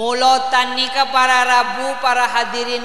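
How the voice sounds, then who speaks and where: With a Madurese accent, a man projects his voice at an extremely high pitch and a very slow pace, amid audible room echo and noticeable background noise. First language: Madurese (speaking Indonesian). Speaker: Islamic preacher. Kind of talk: sermon. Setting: mosque event with audience.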